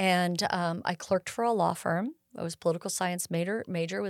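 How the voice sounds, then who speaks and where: A woman with an American accent speaks at a fairly quick pace in a plain, everyday voice, her pitch fairly low and its variation ordinary. The recording is very clean and dry, close with no echo, over a silent background. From California Bay Area. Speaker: air show executive director and pilot. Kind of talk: casual interview.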